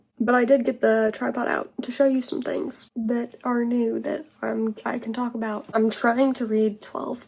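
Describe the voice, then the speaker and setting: At a moderate pace, a woman speaks in a fairly high voice with ordinary pitch variation, and noticeable background noise can be heard. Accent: American. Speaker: vlogger. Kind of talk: casual vlog.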